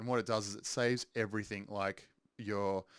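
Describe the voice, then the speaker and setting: A man's fairly low voice at a fairly quick pace, dry with no echo, over a quiet background. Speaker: music producer. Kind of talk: tutorial. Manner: halting, many filler ums. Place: studio.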